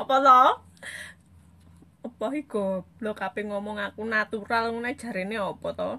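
Speaking with a strong Javanese accent, a woman with fairly high pitch keeps a moderate pace and fairly even intonation, leaving long, frequent pauses. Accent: thick Javanese. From East Java (Blitar/Kediri area); East Java, Indonesia. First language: Javanese (speaking Indonesian). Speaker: social media live streamer. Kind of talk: casual live stream chat reading comments. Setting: Facebook live stream. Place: home room. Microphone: phone near.

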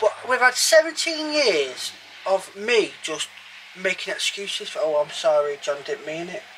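Raising and projecting his high voice, a man swings his pitch very widely over light background noise. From England. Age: 30s. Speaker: narrowboat vlogger. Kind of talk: casual chat. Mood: jokey, lively. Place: boat.

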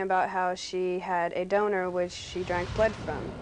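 A woman speaks at a moderate pace with light background noise. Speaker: interviewee. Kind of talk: interview answer. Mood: relaxed, smiling. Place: home room.

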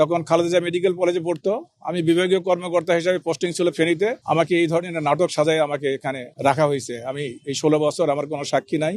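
The man speaks at a high pitch. His voice sounds dry and close, with no echo. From Bangladesh, Bogura. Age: 70s. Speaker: former border guard officer freed from prison. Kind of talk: press statement to reporters.

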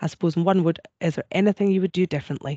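A woman with a Scottish accent speaks at a fairly low pitch, her voice dry with no echo against a quiet background. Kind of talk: moderating Q&A. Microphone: video call.

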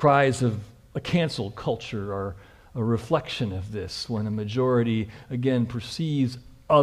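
Someone is reading aloud in a natural voice. Pitch variation is ordinary.

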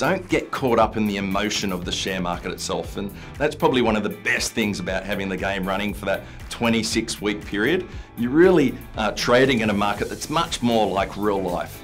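A man's fairly low voice at a moderate pace with ordinary pitch variation, faint music in the background. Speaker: presenter. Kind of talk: tutorial. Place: studio.

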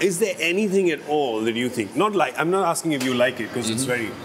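The speech runs at a very fast pace, with very wide pitch swings. There is light background noise. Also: man. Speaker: chat show host. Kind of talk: casual interview talk. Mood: friendly, playful persuading. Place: bar.

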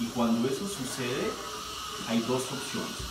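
Noticeable background noise and audible room echo around a man talking. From Lima, Peru. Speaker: dentist. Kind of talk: explaining treatment to a patient. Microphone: camera far.

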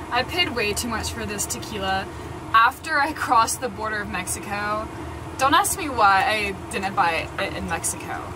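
With noticeable background noise, a woman speaks at a moderate pace. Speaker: van-life vlogger. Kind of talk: casual vlog chat. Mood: relaxed, laughing. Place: home room. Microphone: phone near.

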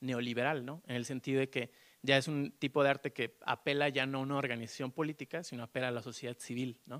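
The speech moves at a fairly quick pace in a monotone, flat intonation. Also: man, quiet background. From Mexico, León; Mexico. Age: 30s. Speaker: artist; panelist. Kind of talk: panel discussion. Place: hall. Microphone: handheld.

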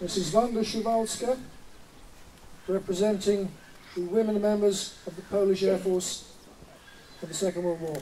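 At a moderate pace, the speech has long, frequent pauses over light background noise. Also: man. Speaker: master of ceremonies. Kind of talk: ceremonial address. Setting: outdoors. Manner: formal. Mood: solemn, courteous. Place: open country. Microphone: handheld.

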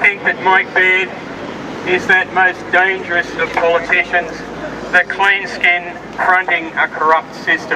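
A man with an Australian accent, high-pitched, with monotone, flat intonation and very even loudness, over noticeable background noise. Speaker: rally speaker and lobby group member. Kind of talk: rally speech to a crowd, political and accusatory. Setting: outdoor rally with audience. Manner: impassioned, sarcastic, fiery; emphatic, repeating key lines, with some false starts. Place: street. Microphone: camera far.

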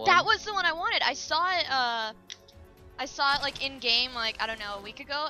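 A woman speaks in a raised, projected voice, high in pitch, at a fairly quick pace with very wide pitch swings. Her loudness swings widely, and music plays in the background. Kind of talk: casual gaming chat.

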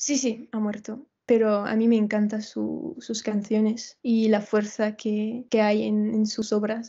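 A woman with a French accent, fairly high-pitched and somewhat breathy, at a very slow pace with hardly any pauses, monotone and flat, over a quiet background. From France. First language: French (speaking Spanish). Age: 20s. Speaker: dancer and Spanish learner; interviewee. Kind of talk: casual interview chat. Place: home room. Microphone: video call.

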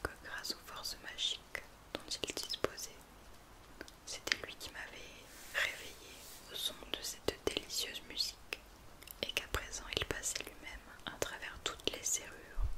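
A soft-spoken woman whispering with long, frequent pauses over loud background noise. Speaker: reader of a story. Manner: soft whispered storytelling, slow and intimate.

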